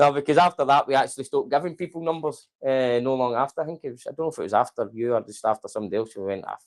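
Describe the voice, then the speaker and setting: A man with a Scottish accent speaks at a very fast pace with hardly any pauses and big swings in loudness. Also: fairly high pitch for a man, ordinary pitch variation. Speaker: company manager hosting staff show. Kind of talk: casual interview. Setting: office Christmas lunch, live stream.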